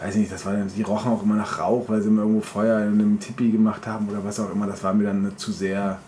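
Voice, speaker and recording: A man's fairly low, monotone, flat voice at a very fast pace with hardly any pauses, over noticeable background noise. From German village near Bamberg. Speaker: podcast co-host. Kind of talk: casual chat.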